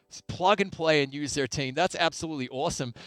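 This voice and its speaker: Heard on a very clean recording with a silent background, a voice with an Australian accent and ordinary pitch variation comes across dry and close, with no echo. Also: man. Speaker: esports tournament host. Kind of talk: live esports broadcast interview. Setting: studio. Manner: animated.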